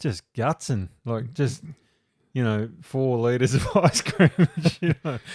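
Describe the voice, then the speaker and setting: Speaking very slowly with long, frequent pauses, a man with a medium pitch and an Australian accent uses lively intonation, recorded very cleanly against a silent background with a dry, close sound and no echo. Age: 50s. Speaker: podcast host. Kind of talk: casual chat.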